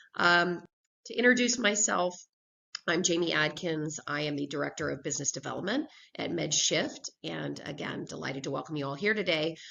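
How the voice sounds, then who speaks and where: This woman's very deep, low voice carries vocal fry and lively intonation. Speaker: business development director presenting. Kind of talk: business presentation webinar.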